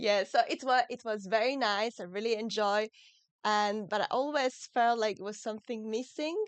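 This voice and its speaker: Against a quiet background, a woman with a French accent talks at a fairly high pitch with ordinary pitch variation. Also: moderate pace. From France. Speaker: muscular dystrophy expert and author. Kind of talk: podcast interview. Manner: relaxing, soothing; halting, with fillers.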